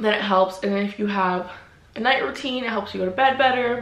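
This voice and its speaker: A woman talks at a fairly quick pace with ordinary pitch variation. Light background noise and audible room echo are present. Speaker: vlogger. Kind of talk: casual vlog chat. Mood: earnest, reflective. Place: home room.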